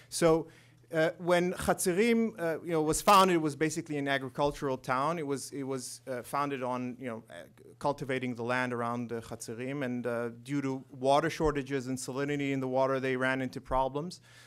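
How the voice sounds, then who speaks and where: In a quiet background, a man speaks at a fairly quick pace, his fairly high pitch showing ordinary variation. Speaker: corporate lawyer. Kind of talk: conference presentation. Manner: halting, with frequent repetitions and fillers. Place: hall. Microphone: podium.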